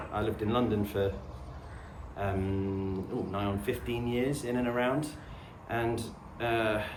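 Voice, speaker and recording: With a southern English accent, a man of medium pitch speaks at a fairly slow pace with ordinary pitch variation, in a room with audible echo. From southern England, suburban/urban. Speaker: homesteading vlogger. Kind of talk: casual to-camera chat. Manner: relaxed, hesitant with fillers.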